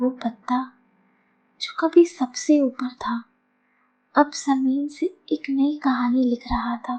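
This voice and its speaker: Soft-spoken and calm, a woman talks at a high pitch with ordinary pitch variation and long, frequent pauses. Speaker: storyteller. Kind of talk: soothing story narration. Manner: soft-spoken, calm.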